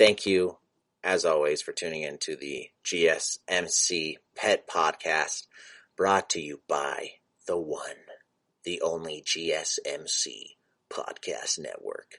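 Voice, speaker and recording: A man puts on a character voice. He speaks at a fairly slow pace. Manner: announcer-style, like a monster truck commercial.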